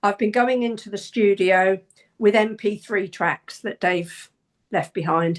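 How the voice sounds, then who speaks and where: Using a normal speaking voice, a woman talks at a fairly slow pace with fairly even intonation. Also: medium pitch for a woman. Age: 60s. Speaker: singer. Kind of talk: casual chat.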